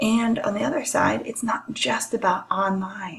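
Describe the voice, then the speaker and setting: A woman speaks in a plain, everyday voice. Her pitch variation is ordinary. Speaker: college lecturer. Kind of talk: recorded lecture.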